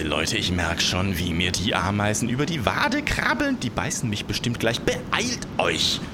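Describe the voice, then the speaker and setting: A quiet, growling put-on character voice from a man, fairly low in pitch, at a moderate pace over loud background noise. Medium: read story. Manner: sheepish, then growling and pleading.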